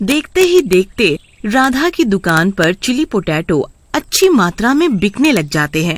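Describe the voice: A woman speaks at a medium pitch with big pitch swings.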